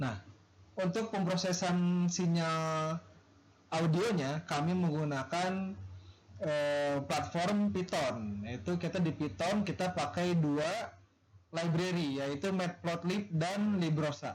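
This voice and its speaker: This man talks at a very slow pace in a high-pitched voice, his loudness staying very even throughout. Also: ordinary pitch variation. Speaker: university student. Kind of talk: class presentation.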